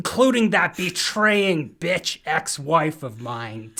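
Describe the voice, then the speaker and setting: A man's put-on character voice, fairly high in pitch and very slow. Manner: vengeful, snarling.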